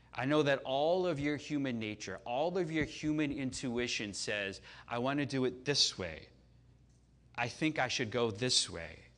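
An animated man at medium pitch speaks fairly slowly with lively intonation, his voice carrying audible room echo. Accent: American. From US Midwest, Chicago. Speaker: pastor. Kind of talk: sermon. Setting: church service with audience.

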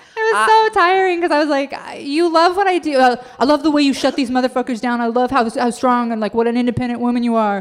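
A woman with an American accent speaks at a very fast pace in a high voice. Her intonation is lively, with noticeable background noise behind her. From Idaho. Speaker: comedian and author. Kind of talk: casual chat. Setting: stage with audience.

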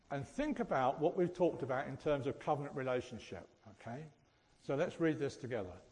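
A man talks very fast in a fairly high, somewhat breathy voice. His intonation is lively. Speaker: church speaker. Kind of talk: sermon. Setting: church. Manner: jokey, self-deprecating.

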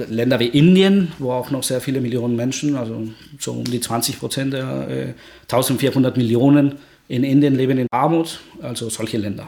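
A man speaks with a Spanish accent at a medium pitch. His intonation stays fairly even. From Guatemala. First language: Spanish (speaking German). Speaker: energy researcher. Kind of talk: podcast interview. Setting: home study.

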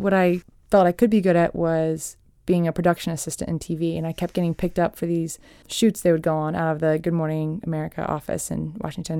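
This woman has a dark, mellow tone and a fairly low pitch, with fairly even intonation. The recording is very clean, with a silent background. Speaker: TV and documentary producer. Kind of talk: casual interview. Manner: fast.

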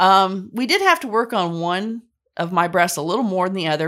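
In a very clean recording with a silent background, a woman speaks in a plain, everyday voice with ordinary pitch variation. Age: 50s. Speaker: patient sharing surgery story. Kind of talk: testimony.

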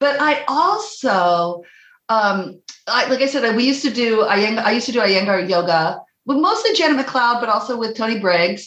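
Audible room echo surrounds a woman with a fairly high pitch and lively intonation. Her pace is moderate and her loudness very even. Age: 50s. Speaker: prenatal yoga teacher and midwife. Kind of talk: casual chat. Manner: animated.

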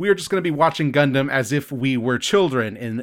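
Fairly quick in pace, a man speaks at medium pitch. His is an unremarkable speaking voice. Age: 30s. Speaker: podcast host. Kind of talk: casual chat.

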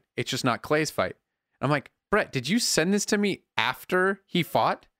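Recorded very cleanly against a silent background, a man speaks at a moderate pace with a bright, sharp tone, a fairly high pitch and very wide pitch swings. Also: very even loudness. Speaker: podcast host. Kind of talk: casual chat with ad read. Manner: casual, jokey.

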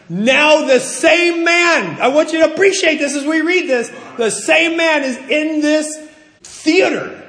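A man with an American accent speaks at a fairly slow pace in an animated tone, his pitch extremely high. The room echo is audible and background noise is noticeable. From US Northeast. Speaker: pastor. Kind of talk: sermon.

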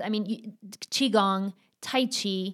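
Speaking with a Spanish accent and ordinary pitch variation, this voice comes through on a very clean recording with a silent background. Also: woman. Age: 40s. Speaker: astrology coach. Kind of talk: casual interview chat.

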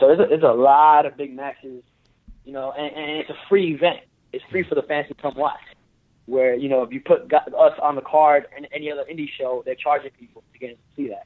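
Fairly high-pitched and fairly quick, a man with an American accent uses an ordinary speaking voice, his loudness swinging widely. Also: fairly even intonation. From Brooklyn, New York. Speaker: professional wrestler, Marine Corps veteran. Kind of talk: casual chat.

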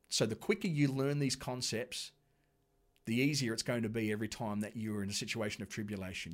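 Fairly quick, lively speech from a man with an Australian accent, on a very clean recording against a silent background. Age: 40s. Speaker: pastor. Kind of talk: sermon. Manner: conversational.

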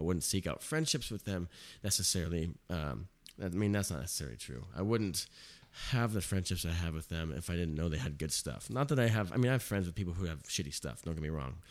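A man's very deep, low voice with vocal fry and an American accent, lively intonation and a very fast pace. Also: very clean recording, silent background. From California and Arizona. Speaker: podcast host. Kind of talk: casual chat. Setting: home recording setup.

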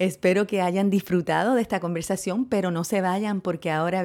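On a very clean recording with a silent background, a woman with a plain, everyday voice talks at medium pitch and a moderate pace. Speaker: podcast host. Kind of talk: casual chat; scripted narration.

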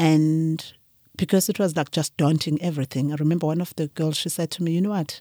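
With a dark, mellow tone, a woman talks at a fairly low pitch and keeps her intonation fairly even. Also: dry, close sound with no echo. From KwaZulu-Natal, South Africa. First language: Zulu. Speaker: winemaker. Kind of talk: interview conversation.

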